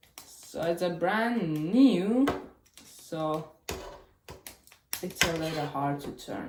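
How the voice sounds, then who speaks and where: A woman at a very slow pace, fairly low in pitch, with lively intonation, big swings in loudness and long, frequent pauses, plus audible room echo. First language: Chinese. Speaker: cube unboxing youtuber. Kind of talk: casual unboxing video. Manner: casual, thinking aloud.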